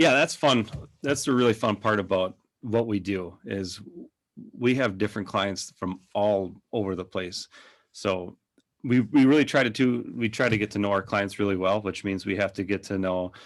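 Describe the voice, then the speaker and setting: A man speaks in a Minnesotan accent. His pitch is fairly low. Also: ordinary pitch variation, moderate pace. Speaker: digital agency owner. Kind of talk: podcast interview. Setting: podcast.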